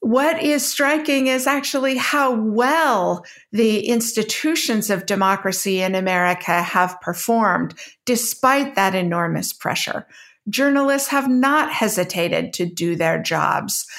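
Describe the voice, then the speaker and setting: A woman with a normal speaking voice talks at a fairly slow pace, fairly high in pitch and very even in loudness, on a very clean recording with a silent background. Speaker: debater and former government official. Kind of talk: moderated debate.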